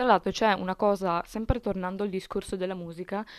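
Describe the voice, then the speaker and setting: In a quiet background, a woman speaks at a medium pitch with fairly even intonation. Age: 20s. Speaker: film podcaster. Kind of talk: casual monologue. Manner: halting.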